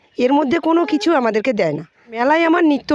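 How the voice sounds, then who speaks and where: A woman's unremarkable speaking voice with lively intonation. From West Bengal, Nadia district. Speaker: bamboo craft artisan. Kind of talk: interview.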